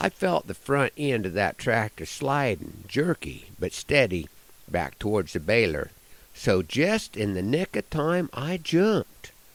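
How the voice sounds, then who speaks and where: A man with an American accent at medium pitch, fairly slow in pace, with vocal fry, very wide pitch swings and a dry, close sound with no echo. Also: very clean recording, silent background. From Nebraska. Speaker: cowboy poet and rancher. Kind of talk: humorous ranch storytelling. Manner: folksy, down to earth.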